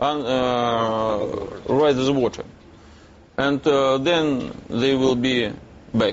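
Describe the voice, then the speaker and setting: A man talks at a fairly high pitch with a Russian accent. Background noise is noticeable. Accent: Russian accent, non-native English. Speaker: businessman. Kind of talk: TV news interview. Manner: halting, many hesitations.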